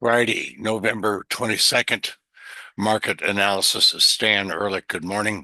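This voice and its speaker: Against a quiet background, a man uses a put-on character voice, hoarse and fairly low in pitch, speaking at a moderate pace with fairly even intonation. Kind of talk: formal, market report. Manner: apologetic, plain reading.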